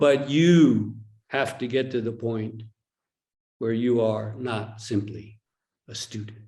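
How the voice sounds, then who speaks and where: With an American accent, a man at medium pitch speaks at a very slow pace with long, frequent pauses, fairly even intonation and a dark, mellow, somewhat breathy tone, in a room with audible echo. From United States. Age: 60s. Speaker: Zen teacher. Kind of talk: dharma talk with dialogue. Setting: online retreat video call.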